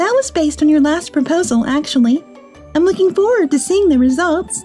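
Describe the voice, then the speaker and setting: Clear music plays in the background as someone uses a squeaky, high-pitched put-on character voice. The pace is fairly quick. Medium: fan dub. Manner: composed, firm.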